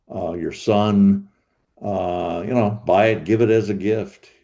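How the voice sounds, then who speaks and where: Very slow and fairly even in intonation, a man speaks with a dark, mellow tone at a fairly low pitch. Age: 70s. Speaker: thriller author. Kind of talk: interview. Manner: halting, many repetitions and fillers.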